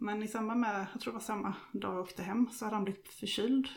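The woman's voice sits fairly high and is somewhat breathy. She talks at a fairly quick pace. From Småland, Sweden (Vaggeryd). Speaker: widow sharing her grief story. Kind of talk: personal testimony interview. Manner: hesitant, many fillers.

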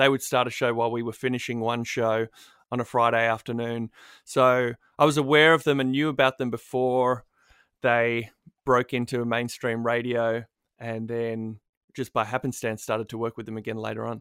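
A man's medium-pitched voice with an Australian accent, moderate in pace and monotone, flat in intonation, dry and close with no echo on a very clean recording with a silent background. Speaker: radio producer and broadcaster. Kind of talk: casual interview chat. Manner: self-deprecating, mumbling.

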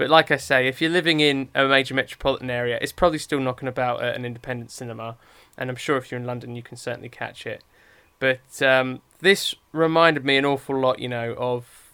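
A man speaks in an English accent at a fairly quick pace. His tone is bright and sharp. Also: very clean recording, silent background. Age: 30s. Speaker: podcast co-host, film critic. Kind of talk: casual chat.

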